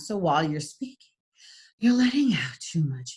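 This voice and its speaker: Using a put-on character voice, a woman speaks breathily at a moderate pace, her fairly low pitch swinging very widely. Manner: exaggerated demonstration.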